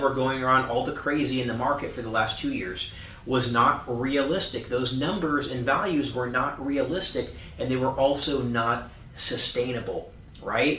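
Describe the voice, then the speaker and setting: Over noticeable background noise and audible room echo, a man talks in a fairly high pitch. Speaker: real estate agent. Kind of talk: market update monologue. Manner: fast; animated.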